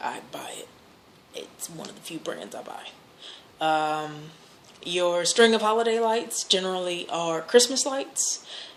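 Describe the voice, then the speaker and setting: In an American accent, a woman with a fairly low voice speaks at a moderate pace with ordinary pitch variation amid audible room echo. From Louisville, Kentucky, US. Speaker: vlogger. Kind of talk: accent challenge word list and casual talk; reading a word list.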